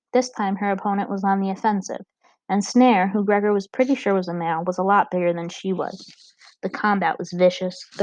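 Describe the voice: Plain reading aloud with fairly even intonation is heard against a quiet background.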